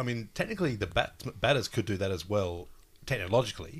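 A man's somewhat breathy, fairly low voice is heard in a very clean recording with a silent background. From regional Australia. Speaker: podcast co-host. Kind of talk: casual chat. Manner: hesitant, joking.

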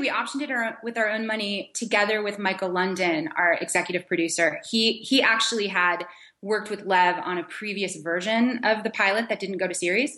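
In a plain, everyday voice, a woman at medium pitch talks at a fairly quick pace with ordinary pitch variation and hardly any pauses. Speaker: TV showrunner. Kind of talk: interview.

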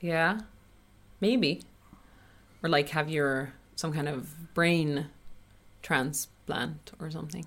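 A woman with a Swedish accent, very deep and low in pitch, at a very slow pace with long, frequent pauses and ordinary pitch variation. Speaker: Swedish teacher. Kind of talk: casual chat.

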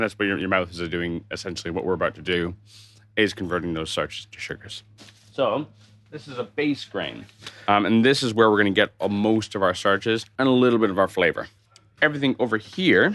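Using a plain, everyday voice, a man with a fairly low pitch talks at a fairly quick pace with lively intonation. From Canada, Toronto. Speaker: brewery co-founder and brewing teacher. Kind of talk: tutorial.

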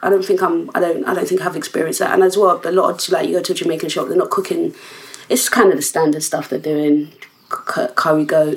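Noticeable background noise is present. The speech moves at a very fast pace. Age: 30s. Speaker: podcast host. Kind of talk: casual chat.

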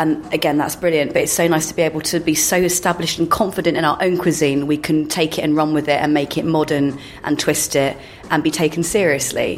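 Amid noticeable background noise, a woman speaks at a very fast pace in a monotone, flat intonation with very even loudness. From London (Paddington, Neasden, Greenford). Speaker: drinks writer. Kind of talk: casual chat. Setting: bar lounge high in a skyscraper.

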